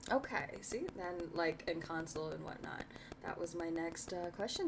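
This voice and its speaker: Background noise comes through noticeably. Over it, a woman talks. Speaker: interview show host. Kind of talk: casual interview. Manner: fast.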